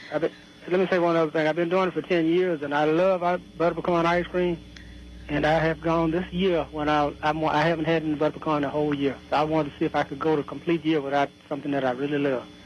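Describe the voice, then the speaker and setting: A man talks at a very fast pace with a fairly high pitch and monotone, flat intonation. Noticeable background noise runs underneath. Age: 60s. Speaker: caller. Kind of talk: casual chat.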